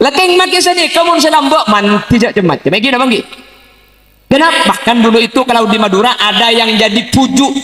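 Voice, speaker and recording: Over noticeable background noise, a man speaks at an extremely high pitch and a very fast pace in a raised, projected voice, with lively intonation and very even loudness. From Madura, Bangkalan. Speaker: Islamic preacher. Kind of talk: religious sermon. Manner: humorous.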